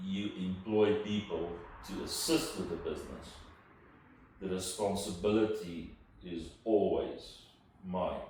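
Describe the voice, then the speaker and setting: With a South African accent, a man talks at a very slow pace with long, frequent pauses and big swings in loudness, amid audible room echo and noticeable background noise. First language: Afrikaans. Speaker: entrepreneur. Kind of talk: interview. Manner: hesitant, repeats words.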